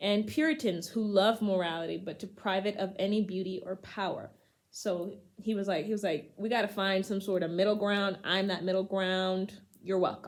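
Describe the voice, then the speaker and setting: At a moderate pace, a woman with an ordinary speaking voice talks at a medium pitch with fairly even intonation. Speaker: poetry channel host. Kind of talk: casual talk to camera. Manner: casual, humorous.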